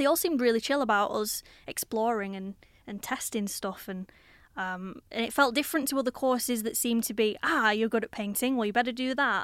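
With a Lancashire accent, a woman talks at a fairly quick pace and a fairly high pitch with ordinary variation. The recording is very clean, with a silent background. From Blackburn, Lancashire, northern England. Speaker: artist and arts organiser. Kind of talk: casual interview. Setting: recorded on university campus, filmed.

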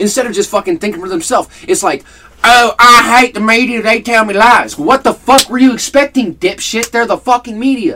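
A man with an extremely high pitch speaks in a raised, projected voice at a fairly quick pace, and his pitch varies in an ordinary way. Noticeable background noise sits underneath. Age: 20s. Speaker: podcast co-host. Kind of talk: casual chat.

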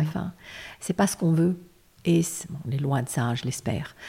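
There is a somewhat breathy quality here. It belongs to a woman's voice. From Lebanon. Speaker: lawyer. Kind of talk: interview.

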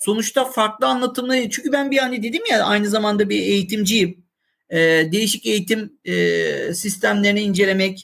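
Moderate pace and ordinary pitch variation. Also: man. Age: 40s. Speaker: IT department head. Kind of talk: casual chat.

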